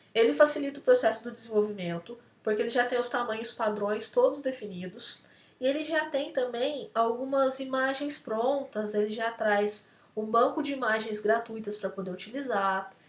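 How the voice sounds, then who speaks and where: With audible room echo, a woman talks at a moderate pace in a fairly high pitch, with ordinary pitch variation. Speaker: lecturer. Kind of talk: lecture. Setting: video call.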